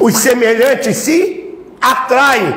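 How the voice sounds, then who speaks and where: An extremely high-pitched male voice in an animated tone, with audible room echo and noticeable background noise. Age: 70s. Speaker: spiritist lecturer. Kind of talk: sermon.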